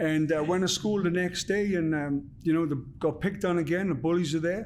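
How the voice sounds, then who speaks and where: A man with a South Wales Valleys accent, high-pitched, at a fairly quick pace, with fairly even intonation and very even loudness. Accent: Welsh (South Wales valleys). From Wales, Merthyr Tydfil. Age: 40s. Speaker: former boxer and actor. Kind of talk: podcast interview. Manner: halting, many fillers.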